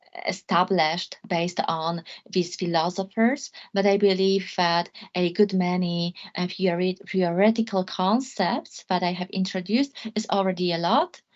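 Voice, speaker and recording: With a Polish accent, a woman speaks at a moderate pace. Her pitch is medium, with ordinary pitch variation. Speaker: law lecturer. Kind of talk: academic talk closing remarks. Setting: video call. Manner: halting.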